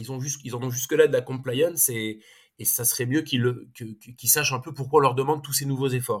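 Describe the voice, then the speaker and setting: A man's somewhat breathy, medium-pitched voice at a fairly quick pace, with fairly even intonation and big swings in loudness. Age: 40s. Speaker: consultancy co-founder and economist. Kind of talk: interview. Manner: halting, many repetitions and fillers.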